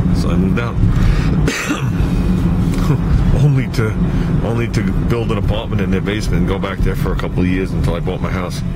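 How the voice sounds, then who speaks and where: A man rushes through his words at a very fast pace as loud background noise fills the clip. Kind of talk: casual vlog chat. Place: car. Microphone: phone near.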